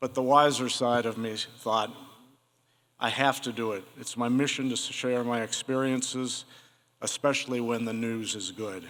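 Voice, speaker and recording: A man with a Midwestern American accent, medium in pitch, at a moderate pace with fairly even intonation. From Ohio, Cincinnati. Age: 60s. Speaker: Parkinson's patient, wine store owner. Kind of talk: prepared talk to an audience.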